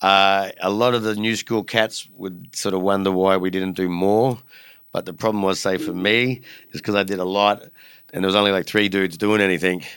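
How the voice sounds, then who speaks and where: A man speaks with an Australian accent, his pitch fairly low and his intonation fairly even. The recording is very clean, with a silent background. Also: moderate pace. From Australia, Brisbane. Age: 40s. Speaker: graffiti artist and record retailer. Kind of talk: casual chat. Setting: studio.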